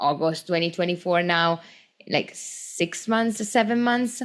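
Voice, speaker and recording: In an Italian accent, a woman speaks at a fairly slow pace. Her pitch is medium and her intonation lively. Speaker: small business owner, podcast host. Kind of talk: casual podcast talk.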